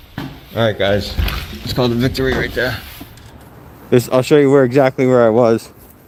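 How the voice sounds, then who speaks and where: A man speaks with an American accent. Noticeable background noise and audible room echo are present. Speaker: first amendment auditor. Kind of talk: casual talk to camera.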